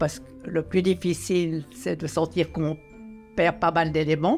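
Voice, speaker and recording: With music in the background, a woman speaks at a moderate pace in a very deep, low pitch, showing ordinary pitch variation. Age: 80s+. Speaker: retired elected politician. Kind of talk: interview answer.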